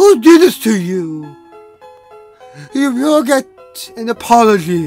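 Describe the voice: Over faint music in the background, a man in a put-on character voice talks slowly at an extremely high pitch with big pitch swings and a slightly mellow tone.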